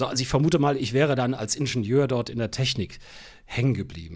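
At a moderate pace, a man speaks at a medium pitch with vocal fry. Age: 60s. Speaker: radio editor-in-chief. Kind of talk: interview.

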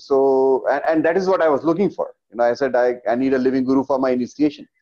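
The man's tone is dark and mellow. He talks at a fairly quick pace. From India, Gwalior. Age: 50s. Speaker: meditation teacher and therapist. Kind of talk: interview.

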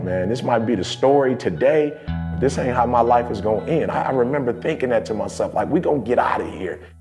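Clear music plays in the background as a man talks with an American accent. He keeps a fairly quick pace with hardly any pauses. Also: medium pitch for a man. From Detroit, USA. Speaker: motivational speaker. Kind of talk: personal story told in a documentary interview. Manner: casual, reflective. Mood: reflective, earnest storytelling. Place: studio. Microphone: lapel.

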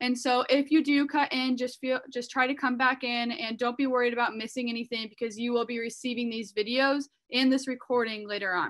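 Against a quiet background, a woman with a high pitch speaks at a moderate pace in a monotone, flat intonation. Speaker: webinar host. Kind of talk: webinar introduction. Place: home room. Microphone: video call.

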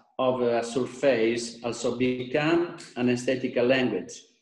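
A man speaks at a very slow pace with fairly even intonation. There is audible room echo against a quiet background. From Italy. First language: Italian (speaking Indonesian). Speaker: architect and designer; presenter. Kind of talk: lecture. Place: home room. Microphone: video call.

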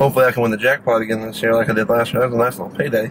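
A man's voice comes through noticeable background noise. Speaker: food reviewer. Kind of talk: casual vlog chat. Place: car. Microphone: phone near.

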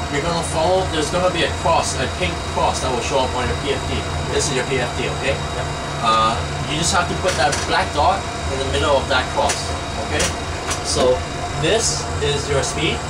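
A man speaks with long, frequent pauses over loud background noise. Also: moderate pace. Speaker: simulator instructor. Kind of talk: tutorial instruction.

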